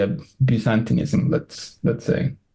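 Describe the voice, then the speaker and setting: At a fairly slow pace, a man talks with a Spanish accent. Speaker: Greek and Latin teacher. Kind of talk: casual interview conversation. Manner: halting, many fillers.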